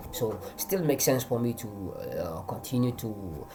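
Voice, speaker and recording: The pitch moves in an ordinary way, with a Nigerian accent. Noticeable background noise sits behind the voice. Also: man. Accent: Hausa-accented English, trying to improve it. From Northern Nigeria. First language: Hausa. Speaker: forex trader. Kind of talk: trading tutorial. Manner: halting, many restarts and fillers.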